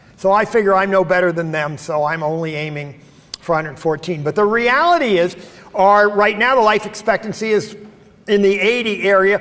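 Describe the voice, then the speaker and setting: Over noticeable background noise, a man with an American accent talks at a fairly quick pace in a high voice with ordinary pitch variation. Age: 70s. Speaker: keynote speaker. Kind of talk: conference talk. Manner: hesitant, many fillers.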